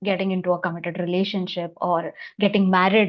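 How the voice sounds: A woman's voice at medium pitch, moving at a moderate pace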